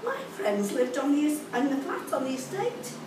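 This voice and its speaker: A woman speaks with a high pitch. Audible room echo and noticeable background noise surround her. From Liverpool, England. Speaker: poet reading own work. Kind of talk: poetry reading, spoken word to a live audience, recalling school days. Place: cafe.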